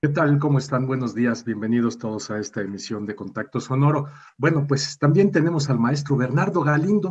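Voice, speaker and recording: A somewhat breathy male voice. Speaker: radio host. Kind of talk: radio interview.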